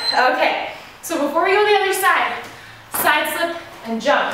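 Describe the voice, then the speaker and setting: A woman talks at a moderate pace in a room with audible echo. Loud background noise runs behind her. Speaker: fitness instructor. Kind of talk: workout tutorial instruction. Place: garage.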